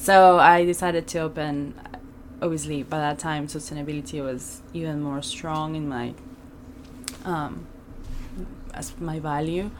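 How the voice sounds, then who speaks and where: A woman speaks at a very deep, low pitch and a fairly slow pace, with fairly even intonation and long, frequent pauses. Her loudness swings widely, with noticeable background noise and audible room echo. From Venezuela. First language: Spanish. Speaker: sustainable fashion consultant. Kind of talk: interview conversation. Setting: studio.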